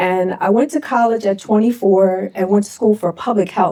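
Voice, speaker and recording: Over noticeable background noise, a woman talks at a fairly quick pace in a medium pitch. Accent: American. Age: 50s. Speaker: dance company founder and event organizer. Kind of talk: panel discussion. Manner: conversational with many fillers.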